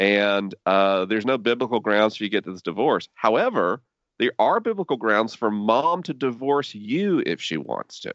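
With an American accent, a man talks at a moderate pace in a normal speaking voice, medium in pitch and lively in intonation. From US South, Tallahassee, Florida. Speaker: podcaster and faith writer. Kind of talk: interview conversation.

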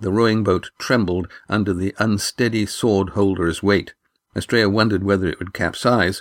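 Over a quiet background, an unforced reading voice moves along with fairly even intonation.

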